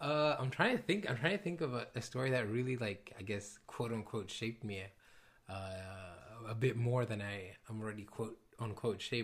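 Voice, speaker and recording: This man's voice is somewhat breathy, sitting at a medium pitch and moving with ordinary pitch variation. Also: moderate pace. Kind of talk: casual chat.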